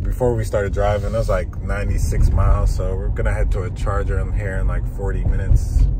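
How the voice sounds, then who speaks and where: Music plays in the background while a man speaks, the sound dry with no echo. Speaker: family road trip vlogger. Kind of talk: casual vlog chat. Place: car. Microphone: phone near.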